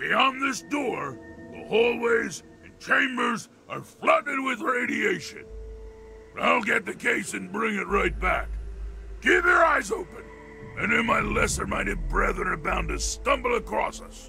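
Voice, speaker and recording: A man shouts in a put-on character voice at a moderate pace. Clear music plays in the background. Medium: machinima. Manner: articulate, polite.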